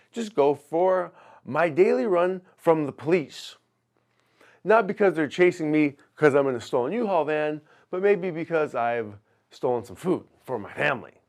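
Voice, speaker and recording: On a very clean recording with a silent background, a man speaks at a moderate pace in an animated, playful tone with lively intonation. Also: big swings in loudness. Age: 40s. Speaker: personal trainer and podcast host. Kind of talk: casual solo podcast monologue. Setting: in a truck.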